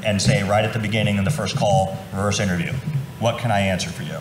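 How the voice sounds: With ordinary pitch variation, a man talks as audible room echo surrounds his voice.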